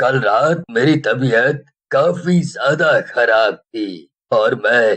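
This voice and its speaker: A man puts on a character voice pitched fairly high. He delivers it at a very slow pace. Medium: read story.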